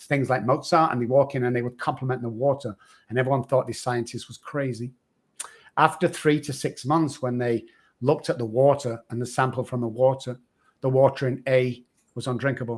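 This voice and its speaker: Pitched medium, a man speaks at a fairly quick pace. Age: 60s. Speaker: addiction recovery expert. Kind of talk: podcast interview. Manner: animated.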